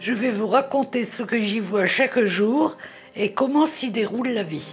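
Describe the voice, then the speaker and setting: A woman's fairly high voice at a fairly slow pace with ordinary pitch variation, music in the background. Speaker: nursing home resident. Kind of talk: documentary voice-over narration.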